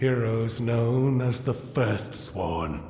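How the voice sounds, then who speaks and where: Someone performs in a put-on character voice with a slight echo. Clear music plays in the background. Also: man. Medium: video game. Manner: formal, measured.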